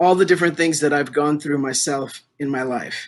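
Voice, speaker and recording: Over a quiet background, a man with an unremarkable speaking voice talks at a fairly high pitch with fairly even intonation. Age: 60s. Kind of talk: interview.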